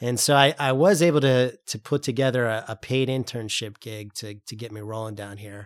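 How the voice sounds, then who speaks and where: An ordinary speaking voice from a man with an American accent, medium pitch, ordinary pitch variation, moderate pace, big swings in loudness, and dry, close sound with no echo. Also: hardly any pauses, very clean recording, silent background. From upstate New York. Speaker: political campaign strategist. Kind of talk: interview.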